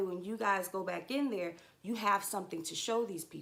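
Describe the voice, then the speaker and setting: A woman talks with a bright, sharp tone at a medium pitch. Her pitch moves in an ordinary way. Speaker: trucker and livestream host. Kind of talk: livestream monologue.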